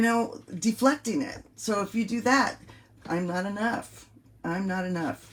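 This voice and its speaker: A woman's medium-pitched voice with an American accent. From US West Coast, San Francisco Bay Area. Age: 60s. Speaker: life coach. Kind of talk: motivational coaching monologue. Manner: casual, repetitive with hesitations.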